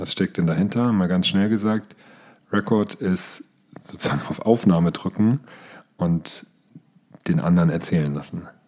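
A man with a very deep, low pitch, ordinary pitch variation, a fairly slow pace and long, frequent pauses. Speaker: podcast host and team coach. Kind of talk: solo podcast tutorial.

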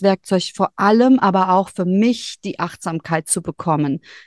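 Her voice is a normal speaking voice, heard with a dry, close sound with no echo against a quiet background, as this woman talks at a moderate pace with ordinary pitch variation. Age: 40s. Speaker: human design reader and yoga teacher. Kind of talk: casual interview chat.

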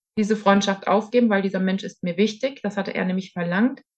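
A woman's monotone, flat delivery. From Germany, Hesse. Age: 40s. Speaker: interviewee sharing personal experience. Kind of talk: testimony in interview. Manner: hesitant, many fillers.

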